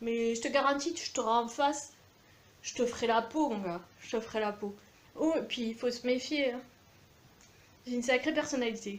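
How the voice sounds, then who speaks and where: At a moderate pace, a woman speaks in a high pitch with ordinary pitch variation and long, frequent pauses. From France, Aveyron (Millau). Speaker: video blogger. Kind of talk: rant to camera. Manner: animated.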